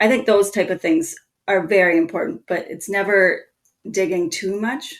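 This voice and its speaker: Speaking at a moderate pace, a woman has a Minnesotan accent and a medium pitch. Her pitch varies in an ordinary way. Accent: Minnesota. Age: 30s. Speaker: marketing strategist. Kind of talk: podcast interview.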